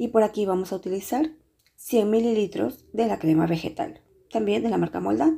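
A woman's dark, mellow tone at a moderate pace, with very wide pitch swings. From Peru. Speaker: pastry chef and cooking youtuber. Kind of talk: tutorial. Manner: hesitant with frequent filler sounds.

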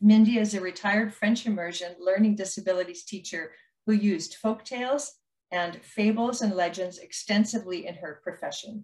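A woman's somewhat breathy voice at a moderate pace, with big swings in loudness. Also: ordinary pitch variation, quiet background. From Alberta, Canada. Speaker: storytelling host. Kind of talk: hosting, interview intro and outro. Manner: warm, friendly. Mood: warm and friendly. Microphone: video call.

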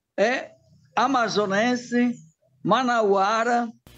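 A man speaks at an extremely high pitch. The background is quiet. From Italy, Bergamo; Italy. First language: Italian (speaking Portuguese). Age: 70s. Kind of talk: news interview. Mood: happy, warm. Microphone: phone near.

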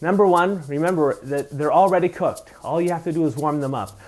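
Faint music sits in the background as a man speaks at a fairly quick pace. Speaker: cooking segment host. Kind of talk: tutorial. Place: kitchen.

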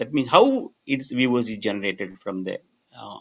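A man talks at a fairly slow pace. He has a Tamil accent. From Tamil Nadu, India. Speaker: research professor. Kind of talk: lecture. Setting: video call. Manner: halting. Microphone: video call.

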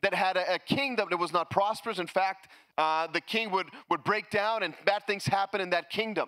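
With a bright, sharp tone, a man talks in a raised, projected voice at a moderate pace over a quiet background. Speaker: pastor. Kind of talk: sermon. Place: church. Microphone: handheld.

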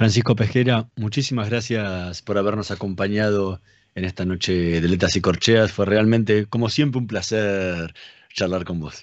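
Over a quiet background, a man speaks at a moderate pace in a fairly low pitch with fairly even intonation, the sound dry with no echo. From Argentina. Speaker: radio host. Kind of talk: radio interview. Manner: halting, repeats words. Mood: warm, smiling. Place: home room. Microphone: video call.

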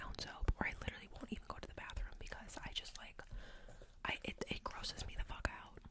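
A woman whispers at a very fast pace. Loud background noise is present. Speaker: podcaster or vlogger. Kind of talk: casual vlog chat. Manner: close-mic ASMR whisper. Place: home room. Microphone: studio mic.

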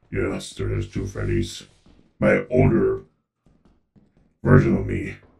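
A man uses a put-on, robotic character voice with a very deep, low pitch. He speaks at a fairly slow pace with long, frequent pauses. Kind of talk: goofy gaming-session character play. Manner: overly friendly mascot showman, mock-protective.

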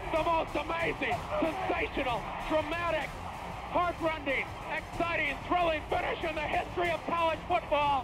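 A man talks at a moderate pace while loud music fills the background. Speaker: football radio play-by-play announcer. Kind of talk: excited live radio sports play-by-play call. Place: booth.

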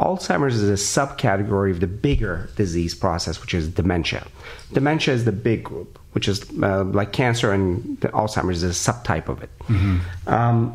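Speech comes at a moderate pace. There is a somewhat breathy quality to it. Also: man, fairly low pitch for a man. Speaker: guest. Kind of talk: interview answer. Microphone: studio mic.

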